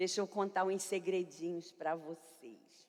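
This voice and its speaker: The voice is loud, with fairly even intonation. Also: woman. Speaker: pastor. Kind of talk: sermon.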